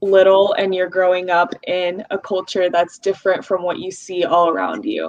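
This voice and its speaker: At a moderate pace, a woman with an American accent speaks at a medium pitch. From US, Russian-speaking immigrant family. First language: Russian. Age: 20s. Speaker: community leader. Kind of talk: casual interview.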